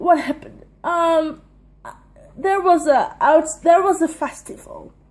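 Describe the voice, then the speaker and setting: A woman speaks at a fairly slow pace with ordinary pitch variation while noticeable background noise is present. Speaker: stand-up comedian. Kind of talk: casual vlog monologue. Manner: loud.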